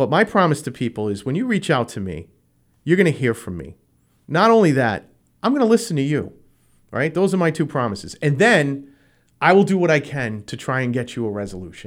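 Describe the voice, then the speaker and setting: Fairly quick and fairly high, a man's voice with a New England accent makes very wide pitch swings on a very clean recording with a silent background. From Rhode Island. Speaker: school committee member and candidate. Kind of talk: radio interview.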